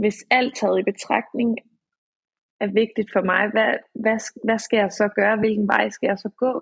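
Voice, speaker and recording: A woman with a fairly high, somewhat breathy voice speaks at a fairly slow pace, with long, frequent pauses and monotone, flat intonation. The sound is dry and close with no echo. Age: 20s. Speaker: author and social psychiatry worker. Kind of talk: casual chat. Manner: halting.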